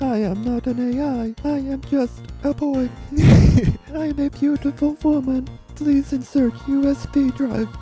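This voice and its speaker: A female-sounding put-on character voice, high in pitch, at a moderate pace over clear music in the background. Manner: robotic, monotone.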